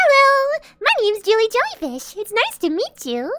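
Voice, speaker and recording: Someone puts on a squeaky character voice at an extremely high pitch, speaking at a moderate pace. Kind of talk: higher, girlish voice. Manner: cutesy, sweet, friendly.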